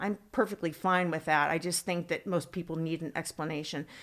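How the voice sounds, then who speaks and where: A woman with an American accent, a plain, everyday voice, fairly low in pitch with fairly even intonation. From Northern California, San Francisco Bay area. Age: 50s. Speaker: former adult film performer and TV personality. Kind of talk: casual interview chat.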